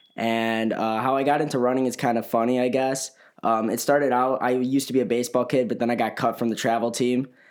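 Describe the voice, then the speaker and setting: A man with a Chicago accent talks at a very fast pace in a monotone, flat intonation with very even loudness. The recording is very clean, with a silent background. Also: medium pitch for a man. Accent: Chicago-area American. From northern Illinois, Chicago area. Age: young. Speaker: college runner and photographer. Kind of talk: casual interview.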